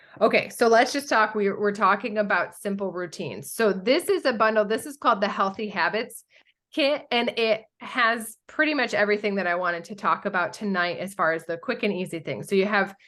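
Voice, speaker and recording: A woman's bright, sharp voice at a medium pitch, with hardly any pauses. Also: ordinary pitch variation. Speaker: essential oils workshop presenter. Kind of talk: online workshop presentation. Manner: fast.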